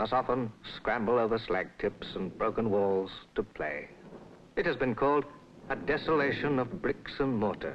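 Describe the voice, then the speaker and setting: A man's voice at a moderate pace, lively intonation and vocal fry over light background noise. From England. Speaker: narrator. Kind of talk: documentary film narration. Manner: soothing. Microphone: old recording.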